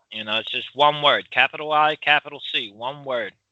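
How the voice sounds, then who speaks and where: With an American accent, a man speaks at a moderate pace in a fairly high pitch. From US, Philadelphia. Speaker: podcast co-host. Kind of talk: casual chat. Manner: loud.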